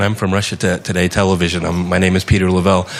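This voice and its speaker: Over noticeable background noise, a man with an American accent speaks in a fairly low pitch. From United States. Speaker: TV journalist. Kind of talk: audience question at a panel discussion. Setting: conference hall with audience.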